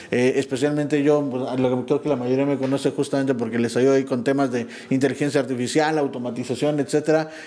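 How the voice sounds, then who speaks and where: Noticeable background noise runs under this man's voice. He speaks very fast, in a flat monotone. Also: medium pitch for a man, hardly any pauses. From Pachuca, Mexico. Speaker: entrepreneur, community member. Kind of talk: casual chat. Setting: office studio.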